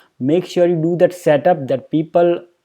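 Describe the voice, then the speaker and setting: A man is speaking. He has an Indian accent. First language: Hindi. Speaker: YouTuber on personal finance. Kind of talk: casual vlog talk to camera. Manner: halting with many fillers.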